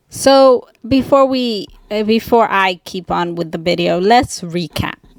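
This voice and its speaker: A woman speaks with a non-native accent. Her pitch varies in an ordinary way. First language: not English. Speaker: indie author. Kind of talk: casual vlog monologue. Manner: halting, many ums and awkward pauses.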